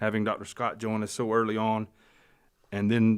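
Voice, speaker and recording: On a very clean recording with a silent background, a man with a Southern US accent speaks fairly quickly in a fairly low pitch. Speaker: sports podcast co-host. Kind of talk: reading aloud.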